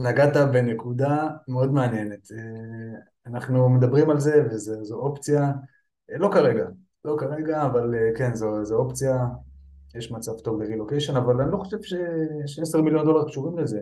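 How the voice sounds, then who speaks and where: A dark, mellow tone comes through at a fairly slow pace, broken by long, frequent pauses, with audible room echo. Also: man, fairly high pitch for a man, ordinary pitch variation. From Israel, Petah Tikva. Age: 30s. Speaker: firefighter and online seller. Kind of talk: interview.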